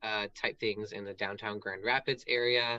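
The speaker is a man with a medium pitch. His intonation stays fairly even. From US South. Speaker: drag queen and stand-up comedian. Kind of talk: casual interview chat. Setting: livestream video call.

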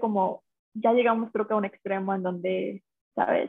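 A woman's unremarkable speaking voice at a moderate pace, with fairly even intonation. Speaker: TikTok creator. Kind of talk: casual chat.

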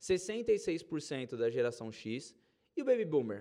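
This man's dark, mellow voice sits high for a man and makes very wide pitch swings. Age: 30s. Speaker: podcast host and investment advisor. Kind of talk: solo podcast monologue. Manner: casual and conversational.

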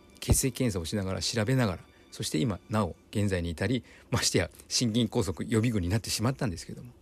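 Music plays in the background while a man speaks at a very fast pace. His pitch is fairly low, with ordinary variation. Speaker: physical therapist and podcast host. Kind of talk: solo podcast monologue.

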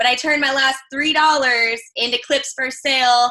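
Bright and sharp in tone, a woman with an American accent speaks at a moderate pace with fairly even intonation. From Chicago. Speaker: adult content creator. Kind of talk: casual interview chat.

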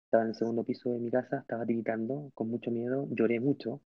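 A man talks at a fairly quick pace with fairly even intonation. Music plays in the background. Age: 30s. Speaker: church youth leader. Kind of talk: testimony.

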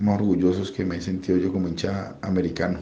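Speaking fairly quickly, a man's voice comes with audible room echo. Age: 40s. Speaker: football fan. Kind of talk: vox-pop testimony.

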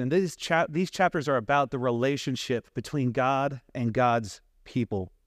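In a very clean recording with a silent background and a dry, close sound with no echo, a man with a normal speaking voice talks at a medium pitch and a moderate pace, with ordinary pitch variation and very even loudness. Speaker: preacher. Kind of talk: sermon. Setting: church.

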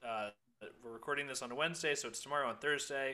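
A man speaks with an American accent at a medium pitch. His tone is bright and sharp, and his pitch varies in an ordinary way. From Ohio, US Midwest. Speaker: student podcast producer. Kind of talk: casual chat.

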